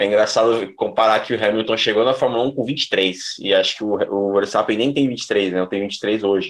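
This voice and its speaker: An unremarkable speaking voice from a man, medium in pitch, at a moderate pace with fairly even intonation and hardly any pauses. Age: 20s. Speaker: motorsport podcast host. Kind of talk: casual sports chat.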